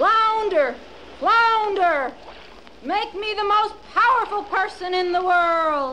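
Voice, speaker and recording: A shrill, put-on character voice at an extremely high pitch and very slow pace, with clear background noise. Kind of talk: children's record dramatization. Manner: shrill, nagging, greedy.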